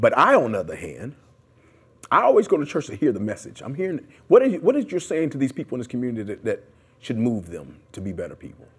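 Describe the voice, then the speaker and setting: A man speaks at a very fast pace. His volume swings greatly against a quiet background. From US Midwest (Detroit, Columbus). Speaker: community activist; interviewee. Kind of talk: oral history interview. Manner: loud; animated. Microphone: lapel.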